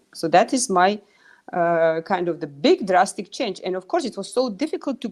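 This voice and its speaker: A woman with a Russian accent, lively intonation and a moderate pace over a quiet background. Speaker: pharmaceutical executive. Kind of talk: interview.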